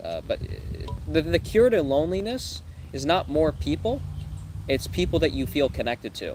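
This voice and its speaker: A man speaks over noticeable background noise. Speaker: life coach. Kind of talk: live stream Q&A reading chat questions. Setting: livestream. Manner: fast.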